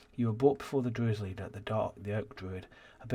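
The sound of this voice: Someone reads in an unforced reading voice.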